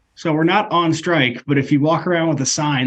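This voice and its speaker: A man in an American accent uses a normal speaking voice with fairly even intonation at a fairly quick pace. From Iowa (Ankeny). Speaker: union leader and delivery driver. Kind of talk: interview.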